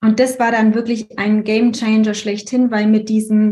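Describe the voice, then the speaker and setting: Somewhat breathy and fairly high in pitch, a woman speaks at a moderate pace with a dark, mellow tone. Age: 30s. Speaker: essential oils consultant and astrology student. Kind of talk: casual interview.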